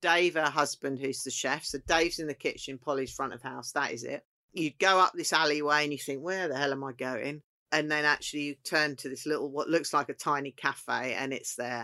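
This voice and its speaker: A woman with a southeast English accent speaks at a very deep, low pitch, her tone bright and sharp. The sound is dry and close with no echo, the pace fairly quick and the intonation fairly even. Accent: south-east English. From Kent, south-east England. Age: 50s. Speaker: chef. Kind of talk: casual chat.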